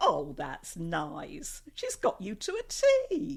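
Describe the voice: Putting on a character voice, a woman speaks slowly at a fairly low pitch with very wide pitch swings, a slightly mellow tone and vocal fry.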